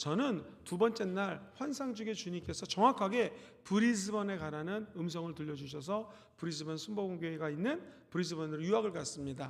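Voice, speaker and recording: In a room with audible echo, a man speaks fairly quickly with a high pitch and lively intonation. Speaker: pastor. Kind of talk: sermon. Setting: church.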